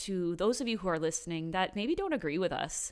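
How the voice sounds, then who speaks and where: In a normal speaking voice, a woman talks at a medium pitch with lively intonation on a very clean recording with a silent background. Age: 20s. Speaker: podcast host's wife sharing her faith story. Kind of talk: casual chat. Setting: home garage studio.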